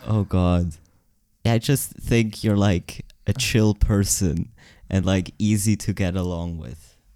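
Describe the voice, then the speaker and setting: On a very clean recording with a silent background, a man with a Swiss German accent speaks very slowly in a very deep, low voice with a dark, mellow tone and ordinary pitch variation. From Switzerland, Zurich area. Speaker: podcast co-host. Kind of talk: casual chat.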